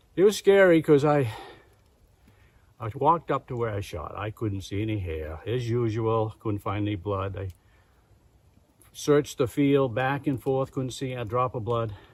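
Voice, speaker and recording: A somewhat breathy man with a medium pitch and lively intonation speaks at a moderate pace with long, frequent pauses, in a very clean recording with a silent background. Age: 70s. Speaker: hunter. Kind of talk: storytelling.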